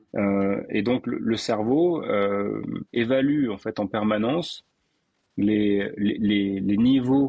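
The man's voice is fairly low, with ordinary pitch variation. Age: 50s. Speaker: breathing coach. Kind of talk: interview conversation.

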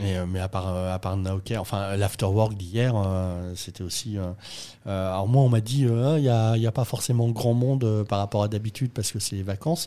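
With a dark, mellow tone and fairly low pitch, a man talks at a moderate pace with ordinary pitch variation. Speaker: podcast host. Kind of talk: casual chat, interview. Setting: coworking space.

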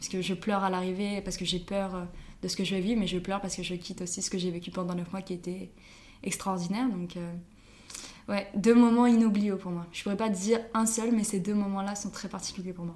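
At a fairly quick pace, a woman speaks at a medium pitch with monotone, flat intonation. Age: 20s. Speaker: student teacher. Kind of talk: casual interview.

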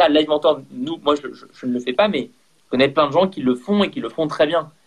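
A man is speaking here. His pitch is fairly high, with ordinary variation. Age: 30s. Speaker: entrepreneur. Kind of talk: interview. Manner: energetic.

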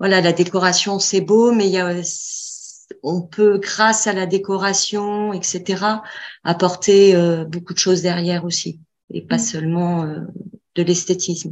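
Against a quiet background, a woman with a medium pitch speaks very slowly in a monotone, flat intonation. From Bordeaux, south-west France. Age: 40s. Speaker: student of an interior design course. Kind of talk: casual chat.

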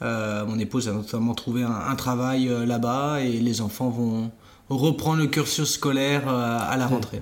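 A man at a fairly slow pace, with very even loudness and fairly even intonation, over noticeable background noise. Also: medium pitch for a man. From France, Vendée coast. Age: 40s. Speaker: entrepreneur. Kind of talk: interview. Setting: at the guest's home. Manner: halting, many fillers.

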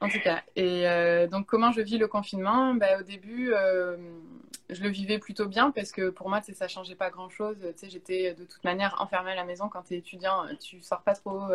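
In a plain, everyday voice, a woman keeps a medium pitch, a moderate pace and fairly even intonation, though her loudness swings widely. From France, Bordeaux. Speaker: YouTuber and content creator. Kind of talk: casual interview. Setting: remote Instagram live.

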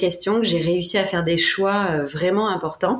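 A woman keeps a fairly slow pace and fairly even intonation as noticeable background noise carries on behind her. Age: 30s. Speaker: life coach. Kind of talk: interview.

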